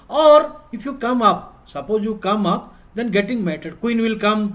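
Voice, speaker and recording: Using an Odisha accent, the speaker talks at a moderate pace with ordinary pitch variation. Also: man. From India, Odisha. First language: Odia. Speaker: chess coach. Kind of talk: online class. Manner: repetitive.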